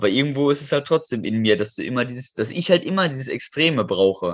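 Here is a man with an unremarkable speaking voice and lively intonation. He talks at a moderate pace against a quiet background. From western Germany, near Düsseldorf. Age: 20s. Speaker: calisthenics athlete and metalworker. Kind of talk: casual interview.

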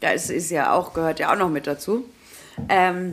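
A woman talks at a moderate pace. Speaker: podcast host. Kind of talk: casual chat.

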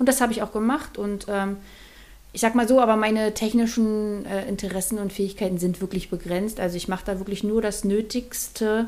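Fairly quick in pace, a woman speaks with a fairly high pitch. Her intonation stays fairly even. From Mecklenburg-Vorpommern, northeastern Germany. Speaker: artist. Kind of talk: casual interview. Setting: in-person studio recording.

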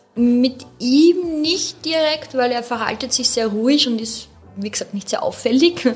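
Over noticeable background noise, the speech unfolds fairly slowly. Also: woman, high pitch for a woman, ordinary pitch variation. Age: 30s. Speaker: dog owner. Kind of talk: casual interview. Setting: studio.

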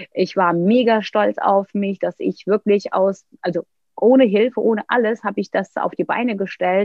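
Speaking in a Turkish accent, a woman uses a medium pitch, ordinary pitch variation and a moderate pace. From Turkey, Istanbul. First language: Turkish (speaking German). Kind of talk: interview, personal story.

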